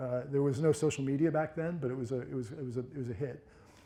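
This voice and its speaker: With audible room echo, a man with a medium-pitched, dark, mellow voice talks at a fairly quick pace with fairly even intonation. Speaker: brand strategist. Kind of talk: lecture. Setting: stage with audience. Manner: mumbling; halting.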